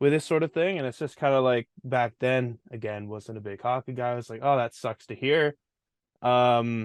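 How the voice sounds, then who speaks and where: This man has a normal speaking voice, medium in pitch, with a Canadian accent and fairly even intonation, recorded with a dry, close sound and no echo. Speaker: podcast co-host. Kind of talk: casual chat.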